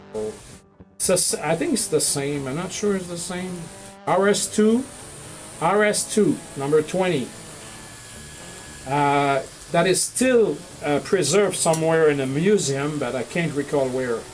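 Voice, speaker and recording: Speaking with a Quebec accent, a man with a fairly high pitch and lively intonation talks at a fairly slow pace. He leaves long, frequent pauses amid noticeable background noise. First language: French. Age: 50s. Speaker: model railroad hobbyist streamer. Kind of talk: livestream chat showing photos. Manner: halting, many fillers.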